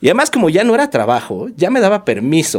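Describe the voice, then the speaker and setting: A man speaks with a Mexico City accent. His pitch swings very widely. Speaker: yoga teacher, former lawyer. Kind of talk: casual chat.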